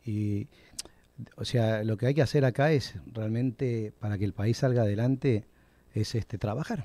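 A man with an Argentine accent speaks at a medium pitch and a fairly slow pace, his tone dark and mellow. His intonation is fairly even, and the sound is dry with no echo. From Argentina, moved to Puerto Rico as a child. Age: 50s. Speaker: restaurant owner; interview guest. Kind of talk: interview. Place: studio. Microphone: studio mic.

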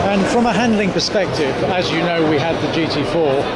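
Moderate pace over loud background noise. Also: man. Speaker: car enthusiast vlogger. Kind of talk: casual vlog commentary. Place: hall. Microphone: phone near.

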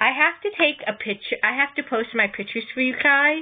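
A woman with a high voice speaks at a moderate pace, her pitch varying in an ordinary way. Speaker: knitting and crochet podcaster. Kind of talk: casual video podcast show-and-tell. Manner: chatty, informal.

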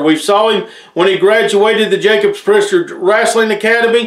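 Against a quiet background with audible room echo, a man with an American accent speaks in a high voice. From Appalachia, Tennessee/Virginia region. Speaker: wrestling show host. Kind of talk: promotional show hosting, announcements; news announcement to camera.

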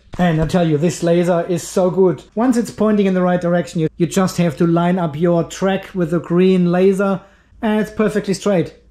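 Against a quiet background, a man with a high pitch speaks at a moderate pace. He uses ordinary pitch variation and hardly any pauses. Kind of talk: casual vlog chat. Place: garage. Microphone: phone near.

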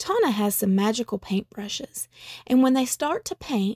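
The voice is reading aloud. It sounds natural.

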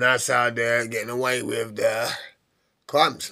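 The pace is moderate for this man. He keeps his intonation fairly even. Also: quiet background. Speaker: vlogger. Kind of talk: casual vlog chat. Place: home room.

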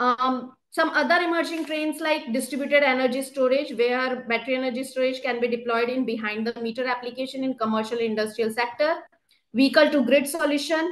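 At a fairly quick pace, a woman talks in a high pitch with fairly even intonation. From India. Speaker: government energy policy official; presenter. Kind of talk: webinar presentation. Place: office. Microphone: video call.

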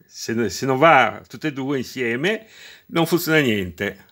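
Against a quiet background, a man speaks at a very slow pace in a medium-pitched voice. His tone is bright and sharp, and his pitch swings very widely. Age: 60s. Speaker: retired electrician, DIY video maker. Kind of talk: tutorial; casual tutorial explanation. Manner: halting, repeats words. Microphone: phone near.

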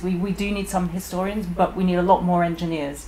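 Someone with a British accent talks at a moderate pace over light background noise. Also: woman. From UK. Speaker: engineer and business owner. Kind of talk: roundtable discussion. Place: shop.

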